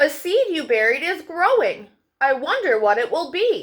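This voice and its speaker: Swinging very widely in pitch, a woman performs a put-on character voice at an extremely high pitch. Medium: read story. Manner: gentle, patient.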